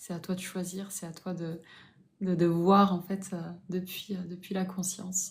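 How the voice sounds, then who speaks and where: Somewhat breathy and monotone, a woman speaks at a fairly slow pace with flat intonation. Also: medium pitch for a woman. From southern France, Toulouse. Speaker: spiritual coach. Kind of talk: live stream chat. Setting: live stream.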